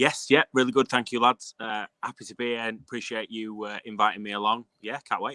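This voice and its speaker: With a northern English accent, a man speaks at a fairly quick pace and a medium pitch in a bright, sharp tone, monotone and flat in intonation, with big swings in loudness, hardly any pauses and a dry, close sound with no echo. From northern England, Castleford near Leeds. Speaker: fantasy football podcaster. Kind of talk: casual chat. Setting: video call, outdoors.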